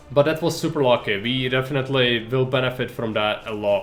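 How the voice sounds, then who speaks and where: A man with a non-native accent speaks at a fairly quick pace and a fairly high pitch. Music plays in the background. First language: not English. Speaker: video game streamer. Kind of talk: live gameplay commentary. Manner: casual, conversational.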